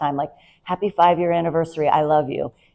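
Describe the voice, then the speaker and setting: A woman speaks in a fairly low pitch with a dark, mellow tone. The background is quiet. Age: 50s. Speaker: nurse practitioner. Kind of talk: presentation talk. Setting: talk with slides.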